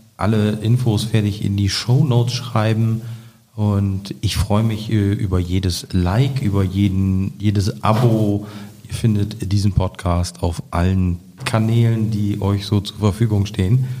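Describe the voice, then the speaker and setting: At a fairly slow pace, a man speaks with a dark, mellow tone, somewhat breathy, his intonation fairly even. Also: fairly low pitch for a man. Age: 30s. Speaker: politician and podcast host. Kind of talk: casual interview.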